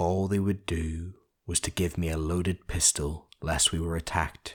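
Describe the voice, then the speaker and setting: A man's very deep, low voice, monotone and flat, at a fairly slow pace on a very clean recording with a silent background. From Northern Ireland. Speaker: audiobook narrator. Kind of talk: audiobook reading.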